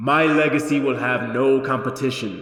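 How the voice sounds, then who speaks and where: Using a put-on character voice at medium pitch, a man talks at a moderate pace with a clear echo around him. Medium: read story. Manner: calm, matter-of-fact, ominous.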